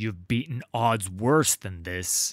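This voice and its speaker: Put-on character voice from a man with a fairly low pitch, in a dry, close sound with no echo. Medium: read story. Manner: commanding, forceful.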